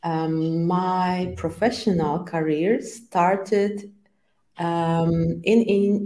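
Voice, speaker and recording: A woman's medium-pitched voice with a dark, mellow tone and fairly even intonation. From Poland. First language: Polish. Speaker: agile trainer and coach. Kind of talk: interview. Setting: live stream. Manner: halting, many fillers.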